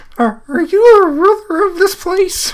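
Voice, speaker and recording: A squeaky, put-on character voice at an extremely high pitch and a moderate pace. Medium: read story. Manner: giggly, hesitant.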